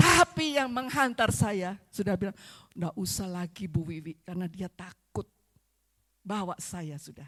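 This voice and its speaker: A woman with a bright, sharp tone speaks at a fairly slow pace with very wide pitch swings, in a dry, close sound with no echo. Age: 70s. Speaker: visiting preacher. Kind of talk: sermon. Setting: church service.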